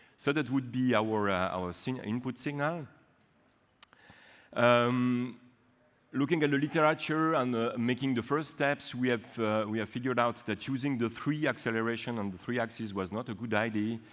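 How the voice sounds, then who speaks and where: Against a quiet background, a man with a French accent talks at a moderate pace with ordinary pitch variation. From French-speaking Switzerland. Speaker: university researcher; conference presenter. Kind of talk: conference talk. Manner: halting, many fillers. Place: hall.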